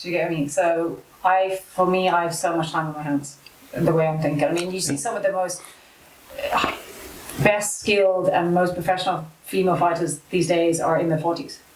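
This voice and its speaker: A woman's fairly low voice at a moderate pace, fairly even in intonation, with audible room echo and noticeable background noise. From South Africa, Cape Town, moved to Ireland at 14. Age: 30s. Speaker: amateur MMA fighter. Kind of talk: casual interview chat.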